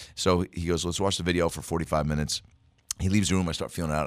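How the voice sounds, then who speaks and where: With vocal fry and a very deep, low pitch, a man talks at a very fast pace on a very clean recording with a silent background. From Seattle area, US Pacific Northwest. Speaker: comedian. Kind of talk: casual chat. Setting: studio. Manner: animated.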